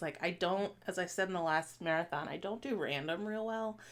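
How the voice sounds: A woman speaks at a moderate pace with lively intonation. Her pitch is fairly low and her tone fairly bright.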